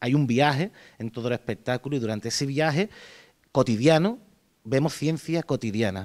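A man speaks at a moderate pace. He has an Andalusian accent. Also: quiet background. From Andalusia, Jerez; Andalusia, Spain. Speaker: clown performer. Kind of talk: interview. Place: gym. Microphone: handheld.

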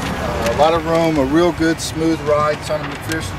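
Loud background noise runs through the clip. Beneath it, a man talks. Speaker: car salesman. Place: street. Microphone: camera far.

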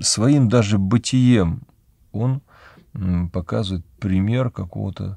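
A man speaks fairly slowly in a fairly low voice with a dark, mellow tone. The sound is dry with no echo, and the background is quiet. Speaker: Orthodox priest. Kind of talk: religious talk answering a viewer question, personal anecdote. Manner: calm, conversational, explanatory. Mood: calm, reflective. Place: studio.

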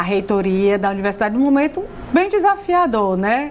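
Over light background noise, a woman speaks at a fairly high pitch. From Piauí, Brazil. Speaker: TV presenter. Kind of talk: TV interview. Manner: animated. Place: studio. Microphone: lapel.

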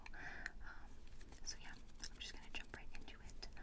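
Whispering, a woman speaks at a moderate pace. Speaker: ASMR creator. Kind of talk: ASMR personal attention roleplay. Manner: whispered. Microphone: studio mic.

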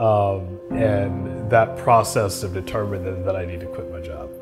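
A man talks at a fairly slow pace with lively intonation. Clear music plays in the background. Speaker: poet. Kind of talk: interview answer. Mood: relaxed, smiling, reflective. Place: home room. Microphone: lapel.

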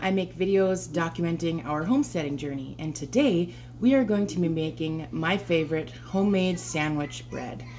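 With light background noise behind her, a woman talks in an unremarkable speaking voice at a fairly low pitch. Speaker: homesteading vlogger. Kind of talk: casual vlog chat. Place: kitchen.

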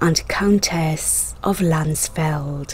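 A woman's fairly low-pitched, dramatic voice with fairly even intonation over noticeable background noise. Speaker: history channel narrator. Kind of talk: dramatic scripted history narration of scandalous lives. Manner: storytelling with dramatic emphasis on twists; measured, polished documentary delivery.

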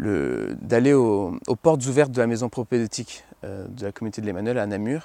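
A man speaks at a moderate pace, the sound dry with no echo and a little background noise. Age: 20s. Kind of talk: testimony. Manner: halting, many repetitions and fillers. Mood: reflective, earnest. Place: garden. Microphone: lapel.

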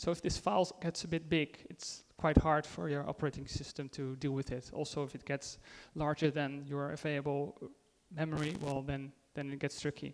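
The speaker has a Dutch accent. The pace is moderate. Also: man, fairly high pitch for a man, fairly even intonation. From Netherlands. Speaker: IT consultant and conference speaker; conference speaker. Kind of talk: conference talk; tech talk presentation. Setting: stage with audience. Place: hall.

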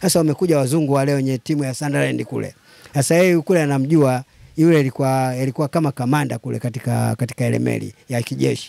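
A man's fairly quick delivery at medium pitch, dark and mellow in tone, with a dry sound and no echo. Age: 80s+. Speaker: football fan. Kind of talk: casual chat. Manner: animated. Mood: lively storytelling. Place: home room. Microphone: handheld.

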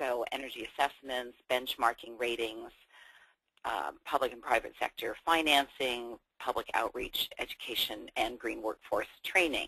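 An American accent with a dry, close sound free of echo, big swings in loudness, and a moderate pace. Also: woman. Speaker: building retrofit expert. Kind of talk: webinar presentation. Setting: video call.

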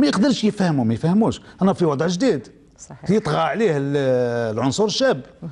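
A man speaks with an Algerian accent at a moderate pace. His pitch swings very widely. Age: 70s. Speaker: trade union leader; guest. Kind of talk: formal TV interview. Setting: studio. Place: studio. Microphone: lapel.

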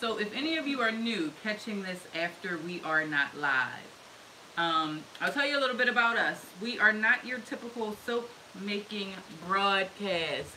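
Over light background noise, a woman talks with lively intonation. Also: moderate pace. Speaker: soap maker hosting a live stream. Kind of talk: casual live-stream tutorial chat. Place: workshop. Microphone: camera far.

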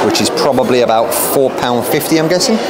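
Amid loud background noise, a man speaks at a moderate pace. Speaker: travel vlogger. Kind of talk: casual vlog chat. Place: bar. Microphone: phone near.

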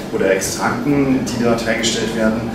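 A man's voice with audible room echo and loud background noise. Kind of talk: interview answer. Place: bar.

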